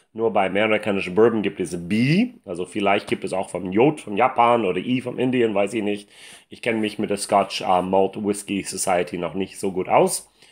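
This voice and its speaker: A man speaks with an English accent at a moderate pace and a fairly low pitch. His pitch varies in an ordinary way over a quiet background. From United States. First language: English (speaking German). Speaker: whisky reviewer. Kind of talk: product review. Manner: halting, many fillers. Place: home room.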